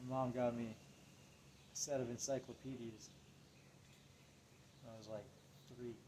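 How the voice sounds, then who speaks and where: Soft-spoken and dark, mellow in tone, the voice moves at a moderate pace with monotone, flat intonation, long, frequent pauses and big swings in loudness. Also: man, medium pitch for a man. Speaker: vlogger. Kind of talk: personal monologue. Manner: subdued, low-energy.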